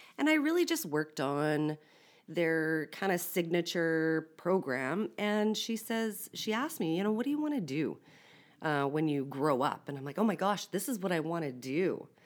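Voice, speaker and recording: A woman speaks with a Canadian accent and lively intonation at a fairly low pitch. She has an unremarkable speaking voice. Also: moderate pace, very clean recording, silent background. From Saskatchewan, Canada. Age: 40s. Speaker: communications consultant in policing and corrections. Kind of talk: casual chat.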